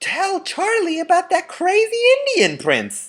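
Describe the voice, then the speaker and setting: A squeaky, put-on character voice rings out at an extremely high pitch. It is raised and projected, with a fairly slow pace. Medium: read story.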